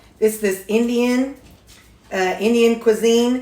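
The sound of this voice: Audible room echo surrounds a woman's fairly high, fairly bright voice with ordinary pitch variation.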